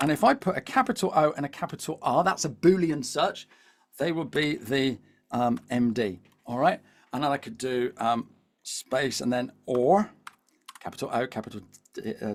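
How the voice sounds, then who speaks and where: A man with a Devon accent, fairly high in pitch, animated in tone and lively in intonation, at a moderate pace with long, frequent pauses. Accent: Devonshire. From England, Devon. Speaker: LinkedIn coach. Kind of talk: webinar presentation. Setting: live video webinar. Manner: animated, repetitive fillers.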